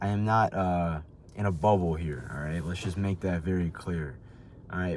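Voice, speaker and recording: Using an ordinary speaking voice, a man talks at a fairly quick pace with an American accent. His intonation is lively. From United States. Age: 20s. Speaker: commentary youtuber. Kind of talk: casual commentary monologue. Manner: casual, filler-heavy.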